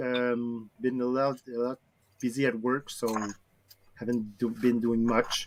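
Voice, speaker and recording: A man with a French accent at a fairly slow pace. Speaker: hobby builder, news presenter. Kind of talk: casual chat. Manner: halting.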